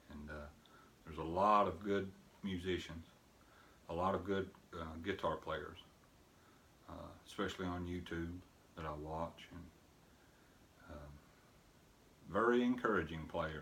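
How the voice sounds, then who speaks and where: A man with a very deep, low pitch and ordinary pitch variation, at a fairly slow pace with long, frequent pauses, big swings in loudness, and audible room echo. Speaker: bluegrass guitarist. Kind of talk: casual tutorial talk. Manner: hesitant, many fillers.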